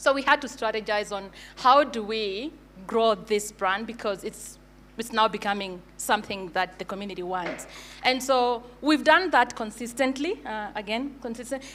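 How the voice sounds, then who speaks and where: A woman's fairly high voice at a moderate pace, with ordinary pitch variation. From Kenya. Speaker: brand agency founder. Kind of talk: conference talk. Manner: hesitant with fillers.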